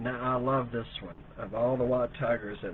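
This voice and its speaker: In a flat, monotone delivery, a man speaks at medium pitch. The recording carries noticeable background noise and audible room echo. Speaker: online seller hosting live sale. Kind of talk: live sales stream. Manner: slow, repetitive.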